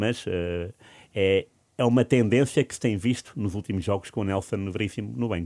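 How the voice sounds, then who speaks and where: Over a quiet background, a man speaks at a fairly low pitch in a dark, mellow tone with ordinary pitch variation. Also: moderate pace, dry, close sound with no echo. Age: 40s. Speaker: football pundit. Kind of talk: casual chat. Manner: halting, many repetitions.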